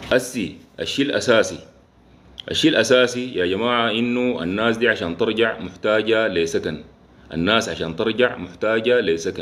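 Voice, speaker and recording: A man speaks with a Sudanese accent. His pitch varies in an ordinary way. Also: moderate pace. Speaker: engineer and live-stream host; live-stream host. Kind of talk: casual live talk to viewers. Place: home room. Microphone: phone near.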